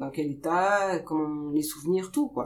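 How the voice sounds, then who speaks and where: Fairly low in pitch, a woman speaks at a moderate pace in a dark, mellow tone. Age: 40s. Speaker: pediatric nurse. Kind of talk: interview.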